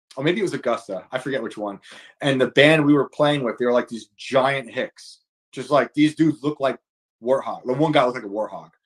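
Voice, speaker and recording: The speaker has a New York accent. The sound is dry and close, with no echo. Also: man, medium pitch for a man, ordinary pitch variation, fairly quick pace. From New York state, rural upstate. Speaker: author and comedian. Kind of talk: casual chat. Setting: live stream podcast.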